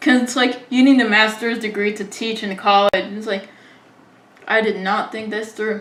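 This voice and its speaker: A woman with an American accent, fairly high in pitch and flat in intonation, at a moderate pace, with big swings in loudness and noticeable background noise. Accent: American-sounding English. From Israel. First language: Hebrew. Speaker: interviewer. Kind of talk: casual chat. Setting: video call.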